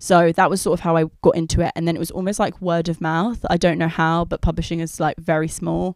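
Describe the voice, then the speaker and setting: In a London accent, the speaker rushes at a very fast pace with monotone, flat intonation and hardly any pauses, on a very clean recording with a silent background. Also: woman, fairly low pitch for a woman. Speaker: editor and writer. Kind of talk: casual interview. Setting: recorded on location.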